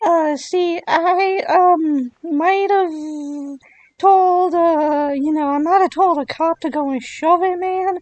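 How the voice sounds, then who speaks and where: A put-on character voice at an extremely high pitch delivers its words at a very slow pace. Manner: rambling, hesitant, casual.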